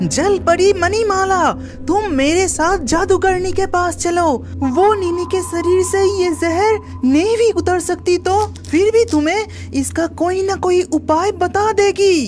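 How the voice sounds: An extremely high-pitched cartoonish character voice at a fairly slow pace with hardly any pauses, clear music playing in the background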